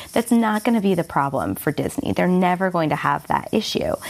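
There is noticeable background noise as a woman speaks at a fairly quick pace. Her voice is fairly low, with lively intonation. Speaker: guest media industry commentator. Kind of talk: casual interview-style discussion of media news.

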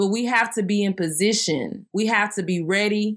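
Fairly even intonation and a moderate pace mark this voice with a Southern US accent. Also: woman, very clean recording, silent background. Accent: Southern US, country twang. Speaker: faith podcast host. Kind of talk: devotional teaching monologue. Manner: not a loud hoop-and-holler preacher.

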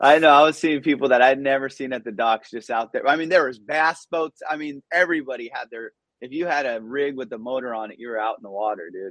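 In a Southern Californian accent, a man speaks at a very fast pace with big swings in loudness. The sound is dry and close, with no echo. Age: 40s. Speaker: comedian. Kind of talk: casual chat. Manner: animated.

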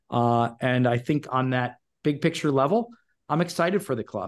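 Against a quiet background, an ordinary speaking voice moves at a fairly quick pace. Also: man. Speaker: soccer club executive and former player. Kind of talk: casual interview.

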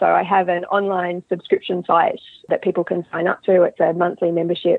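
Speaking at a fairly quick pace, a woman has a medium-pitched voice. She talks with an Australian accent. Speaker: mental skills coach. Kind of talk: interview.

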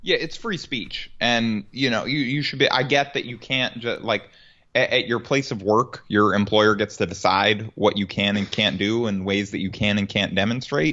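This man has a plain, everyday voice at a medium pitch. He keeps a moderate pace with hardly any pauses and ordinary pitch variation. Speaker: sports podcast co-host. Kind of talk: casual sports podcast chat. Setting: home recording, dog barking.

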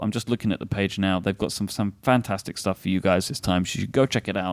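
A man with a British accent at a very fast pace, fairly low in pitch, with fairly even intonation, in a very clean recording with a silent background and a dry, close sound with no echo. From England. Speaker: podcast host. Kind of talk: casual chat. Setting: stage with audience.

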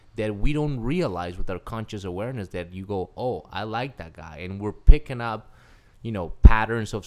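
Speaking with a Spanish accent, a man uses a fairly low pitch with ordinary variation at a moderate pace. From Colombia (Cali). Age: 30s. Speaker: life coach. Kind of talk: casual interview.

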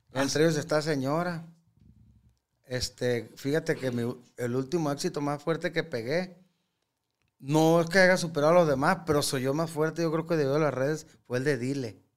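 Using an ordinary speaking voice, a man talks fairly quickly at a fairly high pitch with fairly even intonation, in a very clean recording with a silent background. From Sinaloa, Mexico. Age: 40s. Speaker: regional Mexican singer. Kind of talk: casual interview chat. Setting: studio.

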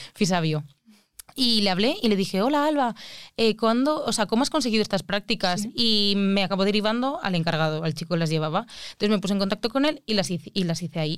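Over a very clean, silent background, a woman talks very fast at medium pitch with lively intonation. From Spain, Alicante. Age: 20s. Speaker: mathematician. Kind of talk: casual chat.

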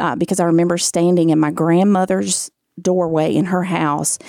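On a very clean recording with a silent background and a dry, close sound with no echo, a woman with a Southern US accent speaks at a moderate pace and a fairly low pitch, her tone dark and mellow and her pitch variation ordinary. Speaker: guest sharing her life story. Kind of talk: testimony. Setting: studio.

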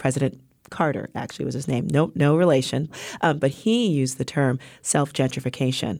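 In an American accent, a woman speaks at a fairly quick pace with a very deep, low pitch, a dark and mellow tone and vocal fry, on a very clean recording with a silent background. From New York, South Bronx. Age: 40s. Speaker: entrepreneur and community developer. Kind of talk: interview. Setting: studio. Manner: animated.

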